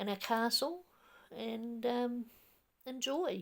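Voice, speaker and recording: In a New Zealand accent, a woman speaks very slowly at a fairly high pitch, on a very clean recording with a silent background. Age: 60s. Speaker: YouTuber. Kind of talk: casual reminiscing monologue. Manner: hesitant, rambling with fillers.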